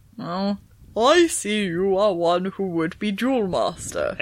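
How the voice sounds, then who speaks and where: A female-sounding, resonant put-on character voice at a middle pitch moves at a fairly slow pace. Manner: dignified, grand.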